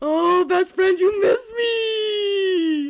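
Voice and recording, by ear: The voice is put on as a character. It sits at an extremely high pitch.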